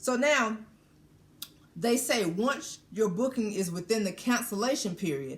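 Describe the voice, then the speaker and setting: A woman speaks at a fairly slow pace with lively intonation. Her fairly high voice is somewhat breathy. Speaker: cruise vlogger. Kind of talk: informational explainer. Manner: deliberately slowed down.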